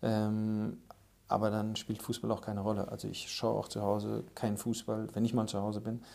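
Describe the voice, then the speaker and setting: A man with a dark, mellow tone speaks in a fairly low pitch, his intonation monotone and flat. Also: moderate pace. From Germany, Aschaffenburg (Lower Franconia). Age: 30s. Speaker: football executive, former professional footballer. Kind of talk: podcast interview.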